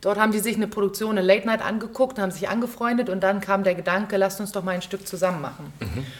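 Over noticeable background noise and audible room echo, a woman speaks at a very fast pace with hardly any pauses, at medium pitch with ordinary pitch variation. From Berlin, Germany. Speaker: stage actress and musical performer. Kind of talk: casual interview chat. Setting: theater.

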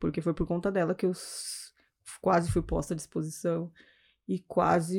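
A woman with a fairly low pitch, vocal fry and a dark, mellow tone speaks with fairly even intonation on a very clean recording with a silent background. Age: 40s. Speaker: civil servant and lawyer. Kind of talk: casual chat.

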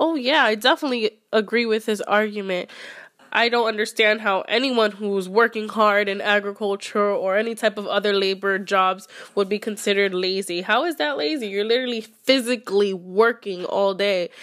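An ordinary speaking voice in an American accent, with ordinary pitch variation and a moderate pace. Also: woman, fairly high pitch for a woman. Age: 20s. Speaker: guest. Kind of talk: casual interview.

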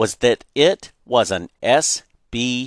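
An unforced reading voice with fairly even intonation, set against a quiet background

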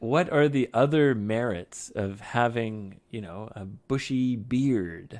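A man with a North American accent talks at a medium pitch and a very slow pace, with hardly any pauses, ordinary pitch variation and big swings in loudness. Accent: generic North American. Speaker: English teacher podcast host. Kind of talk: casual chat. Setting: studio.

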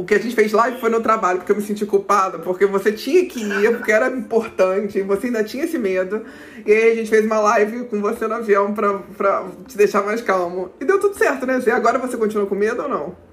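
Speaking at a very fast pace with hardly any pauses, a woman with a fairly high pitch and ordinary pitch variation is heard over noticeable background noise. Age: 30s. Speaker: corporate manager. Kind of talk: casual interview.

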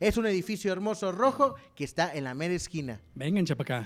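Captured in a very clean recording with a silent background, a man speaks at a moderate pace in a high pitch with lively intonation. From Mexico, not from San Luis Potosí. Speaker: podcast host. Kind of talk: sponsor plug; casual interview chat.

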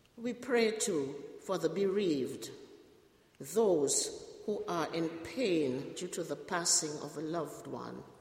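Over noticeable background noise, a woman speaks very slowly at a fairly low pitch with lively intonation. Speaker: prayer leader. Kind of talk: prayers of intercession. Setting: church.

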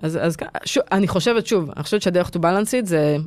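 This woman has an ordinary speaking voice, pitched fairly low. Her pitch varies in an ordinary way. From Israel, Petah Tikva. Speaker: tech executive. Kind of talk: interview.

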